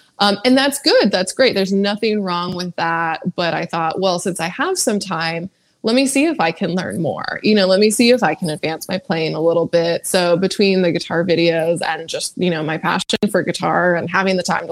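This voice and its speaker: In a normal speaking voice with an American accent, a woman pitched fairly low speaks at a moderate pace with ordinary pitch variation and hardly any pauses. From California. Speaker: guitarist and songwriter. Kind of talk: casual chat.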